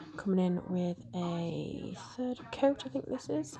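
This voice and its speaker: A soft-spoken voice with a British accent comes through over noticeable background noise. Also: woman. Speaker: nail art creator. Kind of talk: tutorial voiceover. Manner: quiet, soft-spoken.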